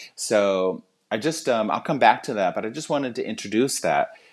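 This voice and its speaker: Vocal fry from a man at medium pitch, with very wide pitch swings. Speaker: English teacher and meditation speaker. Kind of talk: recorded presentation with guided meditation. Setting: pre-recorded at home. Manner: hesitant, with fillers.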